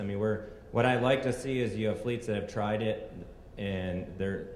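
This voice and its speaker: A man with an American accent speaks at a medium pitch with fairly even intonation. Audible room echo and noticeable background noise fill the recording. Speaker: energy company executive. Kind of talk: conference presentation. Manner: fast.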